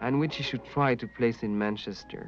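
A man with a slight French accent talks at a fairly quick pace over music in the background. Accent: light French. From France. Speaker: narrator. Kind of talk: documentary narration reading letters in first person.

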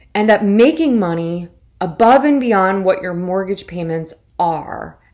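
A woman speaks at a moderate pace with lively intonation against a quiet background. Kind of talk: tutorial. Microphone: webcam.

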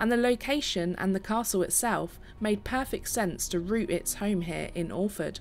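With music in the background, a woman talks at a moderate pace and ordinary pitch variation. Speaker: tour narrator. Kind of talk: documentary narration.

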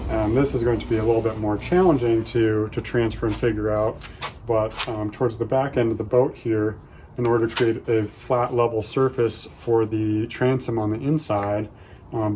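With light background noise behind him, a man keeps his intonation fairly even as he talks at a moderate pace. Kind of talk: tutorial. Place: garden. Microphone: phone near.

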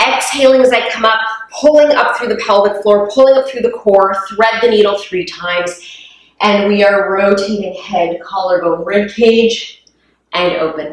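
Audible room echo carries a woman's voice. She speaks at a fairly slow pace with ordinary pitch variation. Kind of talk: exercise class instruction. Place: gym. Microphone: camera far.

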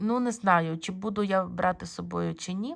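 Here a woman talks at a fairly slow pace with a medium pitch. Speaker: bead embroidery video blogger. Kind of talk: casual video blog review. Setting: filming handheld at home. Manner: hesitant, many fillers.

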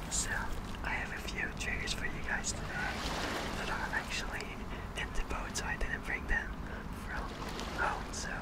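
Loud background noise surrounds a man who talks at a moderate pace, leaving long, frequent pauses. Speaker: ASMR creator. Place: boat. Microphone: studio mic.

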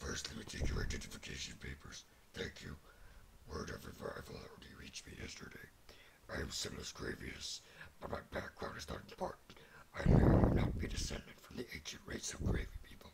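Putting on a character voice, a man sounds raspy and gravelly, moving at a fairly quick pace with long, frequent pauses and big swings in loudness. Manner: gravely dramatic.

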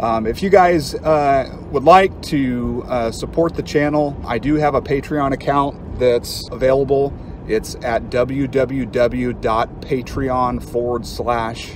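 A man speaks at a very slow pace with ordinary pitch variation. The sound is dry with no echo, but background noise is noticeable. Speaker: reptile keeper channel host. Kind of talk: casual vlog chat. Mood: upbeat, relaxed. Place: car. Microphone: phone near.

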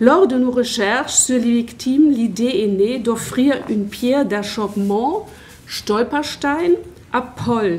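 Over light background noise, a woman speaks very slowly at a fairly high pitch with ordinary pitch variation. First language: German (speaking French). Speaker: history teacher and academic; history teacher. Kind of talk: conference talk. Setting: conference with audience. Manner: halting. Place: hall. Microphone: handheld.

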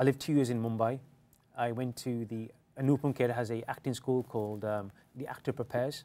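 This man has a London accent and a medium pitch. His intonation is monotone and flat. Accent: British English, London area. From England, British Indian. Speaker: actor. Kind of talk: casual interview. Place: studio.

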